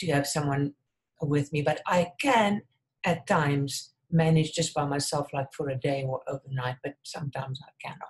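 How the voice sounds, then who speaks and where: A woman with a very deep, low pitch and a somewhat breathy voice speaks at a moderate pace with fairly even intonation and big swings in loudness. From South Africa. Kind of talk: interview.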